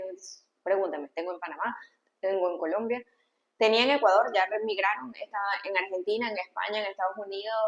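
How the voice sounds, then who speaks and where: A woman's medium-pitched voice, fairly quick, with ordinary pitch variation and big swings in loudness. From Venezuela, Valencia. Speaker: pediatrician. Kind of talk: interview conversation.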